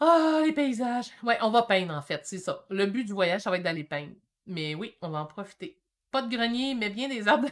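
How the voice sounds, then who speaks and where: In a Quebec accent, a woman with a fairly high pitch talks at a moderate pace with very wide pitch swings. Her tone is animated, and the background is quiet. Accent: Québécois French. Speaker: painting teacher. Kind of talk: live-stream painting tutorial. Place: home room. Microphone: webcam.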